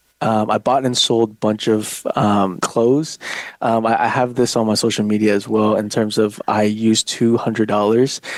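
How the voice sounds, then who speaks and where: Holding a very even loudness, a man of medium pitch talks in a monotone, flat intonation. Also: moderate pace. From southern China, moved to US at eight. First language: Chinese. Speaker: real estate agent. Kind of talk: podcast interview. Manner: hesitant, many fillers.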